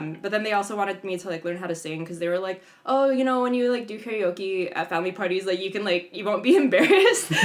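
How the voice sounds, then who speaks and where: A woman at a very fast pace with hardly any pauses, over noticeable background noise. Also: medium pitch for a woman, ordinary pitch variation. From San Jose, California (US West Coast). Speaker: DJ and psychotherapist. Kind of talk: casual interview conversation. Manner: casual, lots of fillers.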